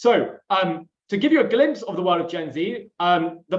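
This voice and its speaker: A man's high-pitched voice with a London accent. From London, England. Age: 20s. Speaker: webinar host, company executive. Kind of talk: webinar presentation.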